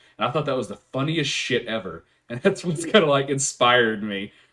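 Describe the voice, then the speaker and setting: A man talks at a fairly quick pace with a medium pitch. His intonation is lively. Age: 20s. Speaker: podcast host. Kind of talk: casual chat. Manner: loud.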